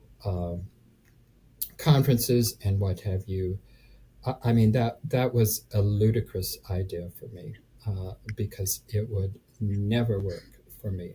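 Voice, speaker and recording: Somewhat breathy, a man of fairly low pitch speaks at a very slow pace with long, frequent pauses. His loudness swings widely, and his pitch varies in an ordinary way. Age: 70s. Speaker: real estate investor. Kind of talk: interview answer. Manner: hesitant, halting.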